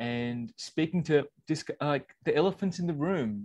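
Lively intonation and a moderate pace mark this voice with an Australian accent against a quiet background. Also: man. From Australia (born in England). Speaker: podcast co-host, former corporate manager. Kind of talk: casual chat.

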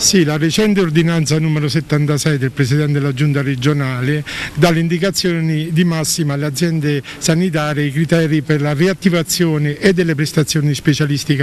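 A man talks at a fairly quick pace with fairly even intonation, the sound dry with no echo and light background noise behind him. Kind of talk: interview answer. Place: garden. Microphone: podium.

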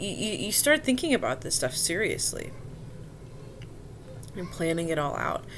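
Light background noise under a woman's moderately paced speech. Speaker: vlogger sharing personal experience. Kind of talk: casual vlog chat. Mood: somber, reflective. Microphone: webcam.

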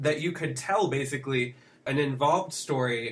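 Here is a man with a plain, everyday voice. His pitch is medium, his pace moderate, and his pitch variation ordinary. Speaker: podcast co-host. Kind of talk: casual conversation about books and film. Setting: studio.

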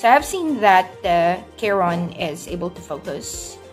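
A woman with a fairly low voice talks over music playing in the background. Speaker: working mother vlogger. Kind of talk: casual vlog chat. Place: home room. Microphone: phone near.

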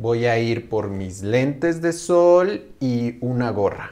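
A man talks very slowly at a medium pitch. His tone is dark and mellow, with ordinary pitch variation. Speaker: actor in a language lesson skit. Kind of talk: scripted slow conversation for learners.

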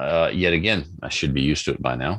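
With a Canadian accent, a man speaks fairly quickly in a bright, sharp tone with vocal fry, the sound dry and close with no echo. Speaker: podcast host. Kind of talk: casual chat.

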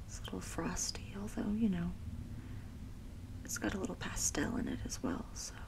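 A soft-spoken voice at a moderate pace, with noticeable background noise. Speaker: nail painting creator. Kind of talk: casual soft-spoken tutorial chat. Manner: soft-spoken ASMR murmur.

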